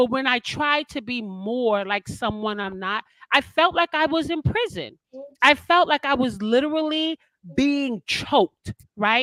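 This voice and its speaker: A loud, animated woman at a high pitch, bright and sharp in tone, with lively intonation at a fairly slow pace, dry and close with no echo. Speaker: life coach and show host. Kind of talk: casual chat.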